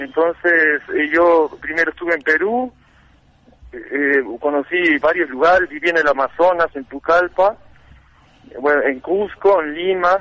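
Pitched high, a man talks at a fairly slow pace with ordinary pitch variation. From Uruguay. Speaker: seeker of ancient wisdom. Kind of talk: interview.

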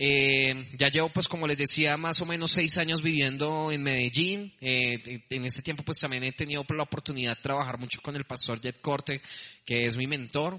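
A man's fairly high voice at a moderate pace, fairly even in intonation, over noticeable background noise. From Colombia, Bogotá. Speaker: preacher. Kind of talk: sermon.

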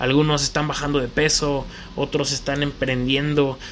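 Over noticeable background noise, a man with a central Mexican accent speaks at a moderate pace, his fairly high pitch held in monotone, flat intonation. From Mexico, León, Guanajuato. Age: 20s. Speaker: podcast host, DJ and collectibles shop owner. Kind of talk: solo casual monologue.

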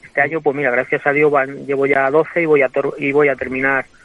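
Monotone and flat in intonation, a man speaks with a fairly high pitch. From Spain, Guadalajara. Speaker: bullfighter. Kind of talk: interview. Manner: halting.

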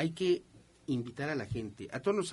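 Vocal fry runs through a man's fairly high voice as his intonation stays lively. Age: 50s. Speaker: radio host. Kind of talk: radio talk show.

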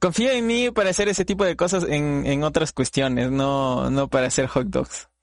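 An unremarkable speaking voice moves at a moderate pace with hardly any pauses, lively intonation and very even loudness. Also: man, fairly high pitch for a man. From Latin America, not Mexico. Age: 20s. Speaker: podcast host and streamer. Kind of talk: casual interview chat.

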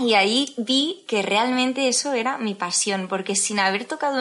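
Against noticeable background noise, someone talks at a moderate speed, the pitch shifting in an ordinary way. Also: woman. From Spain, Tarragona (Catalonia). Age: 20s. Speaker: airline pilot. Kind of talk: interview.

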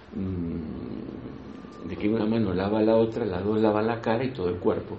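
A man speaks with an Argentine accent amid audible room echo. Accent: Rioplatense Argentine Spanish. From Argentina, Buenos Aires province countryside. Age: 60s. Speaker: spiritual teacher, breathwork facilitator. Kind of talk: spiritual talk to a group. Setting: in-person gathering in Granada. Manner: halting, repetitive.

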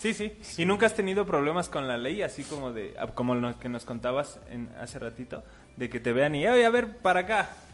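Fairly quick speech in a Mexican accent with very wide pitch swings. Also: man, fairly high pitch for a man. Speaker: comedian co-host. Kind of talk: casual chat.

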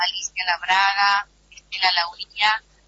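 Noticeable background noise sits behind this voice. A woman talks at a medium pitch. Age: 70s. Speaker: actress. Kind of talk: interview.

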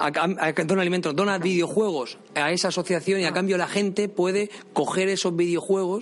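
Against noticeable background noise, a man with a high pitch talks at a very fast pace with fairly even intonation. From Spain. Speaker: podcast host. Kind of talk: interview. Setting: museum.

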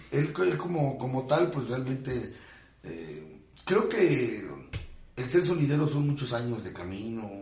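A man speaks very slowly at medium pitch, with very wide pitch swings and big swings in loudness. Noticeable background noise and audible room echo fill the recording. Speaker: sonidero announcer. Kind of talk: casual interview chat.

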